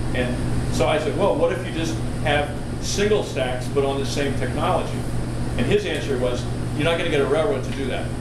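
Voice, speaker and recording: Loud background noise is present throughout. Over it, a man speaks at a fairly quick pace. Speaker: presenter. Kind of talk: informal talk discussion answer. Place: hall. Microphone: camera far.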